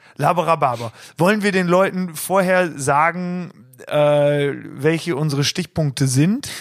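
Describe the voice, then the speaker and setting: The recording is very clean, with a silent background. A man talks fairly slowly in an unremarkable speaking voice, fairly high in pitch, with ordinary pitch variation. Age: 20s. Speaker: band member and podcast co-host. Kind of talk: casual chat.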